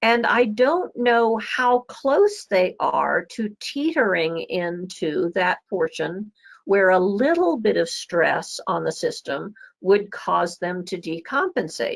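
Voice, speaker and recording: A woman talks at a very slow pace. She has an American accent. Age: 60s. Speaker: medical lecturer. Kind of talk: lecture.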